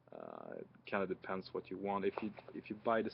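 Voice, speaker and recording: This speaker has a Swedish accent and keeps a moderate pace. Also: man. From Sweden. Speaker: music reviewer. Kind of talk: casual product review. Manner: hesitant, many fillers.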